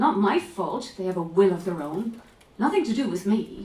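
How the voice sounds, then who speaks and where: With an Irish accent, a woman speaks at a fairly slow pace, her pitch swinging very widely. Noticeable background noise runs underneath. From Ireland, County Clare. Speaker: author and actress. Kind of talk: reading aloud.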